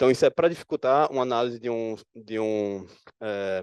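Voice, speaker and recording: A man's voice with ordinary pitch variation, dry and close with no echo, over a quiet background. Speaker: security analyst presenting at conference. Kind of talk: conference talk. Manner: fast.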